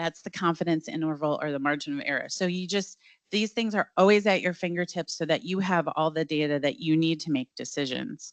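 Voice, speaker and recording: The sound is dry and close, with no echo. A woman speaks in a fairly low voice with ordinary pitch variation. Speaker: data platform presenter. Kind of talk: product demo presentation. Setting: launch event with live audience. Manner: fast.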